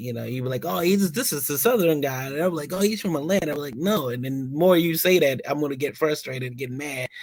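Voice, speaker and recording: Over noticeable background noise, a man with a fairly high pitch and lively intonation speaks at a very fast pace with hardly any pauses. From Philadelphia, moved away at twelve. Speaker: podcast host. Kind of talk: casual chat.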